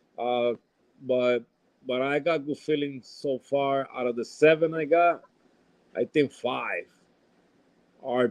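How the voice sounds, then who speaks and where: Fairly even intonation from a man with a fairly high-pitched voice. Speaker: rapper. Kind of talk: casual chat. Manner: halting, repetitive.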